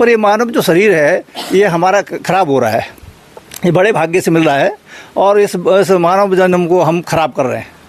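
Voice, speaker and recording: The speaker talks at a moderate pace with ordinary pitch variation. Noticeable background noise runs underneath. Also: man, high pitch for a man. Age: 60s. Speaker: devotee, former village priest. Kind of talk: interview.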